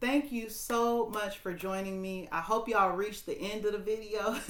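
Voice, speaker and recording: Audible room echo hangs around a woman's voice. She talks at a moderate pace. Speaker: tarot reader and spiritual coach. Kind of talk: tarot reading to camera. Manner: casual, halting with fillers.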